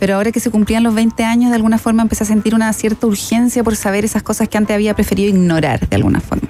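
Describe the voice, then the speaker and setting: Over noticeable background noise, a woman talks at a very fast pace with monotone, flat intonation. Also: fairly high pitch for a woman, hardly any pauses, very even loudness. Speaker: podcast producer. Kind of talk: interview. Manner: halting.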